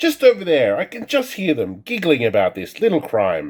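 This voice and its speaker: A man puts on a character voice and delivers it at a moderate pace. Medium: read story.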